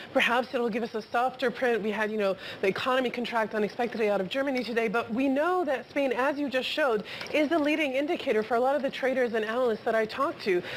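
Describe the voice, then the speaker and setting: The speaker talks at a very fast pace with very even loudness and ordinary pitch variation. Noticeable background noise runs underneath. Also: woman, high pitch for a woman. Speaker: markets reporter. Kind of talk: live TV market discussion. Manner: stuttering.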